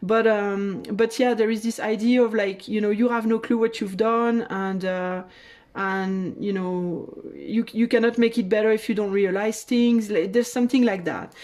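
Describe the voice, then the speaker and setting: A woman in a French accent, fairly high-pitched, with fairly even intonation. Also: moderate pace. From France. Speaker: tarot reader. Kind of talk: tarot reading. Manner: halting.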